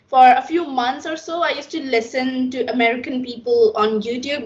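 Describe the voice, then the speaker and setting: Over noticeable background noise, a woman with a high voice talks at a moderate pace. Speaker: English learner, vlogger. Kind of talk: interview.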